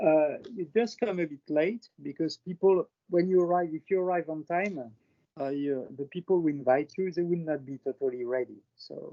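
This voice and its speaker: A man with a French accent speaks at a moderate pace in a fairly high voice, his pitch varying in an ordinary way. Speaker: airline industry professional presenting his country. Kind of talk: presentation on video call. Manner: halting, many fillers.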